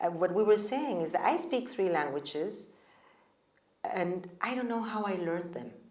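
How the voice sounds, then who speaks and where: A woman with a medium-pitched voice and lively intonation speaks at a moderate pace, with audible room echo. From Mexico. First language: German. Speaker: panelist. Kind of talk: panel discussion.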